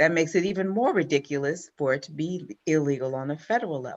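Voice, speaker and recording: Fairly low in pitch, this woman speaks. Hers is a plain, everyday voice. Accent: American. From Mississippi and Los Angeles. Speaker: congressional candidate, attorney, retired Marine colonel. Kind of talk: interview answer.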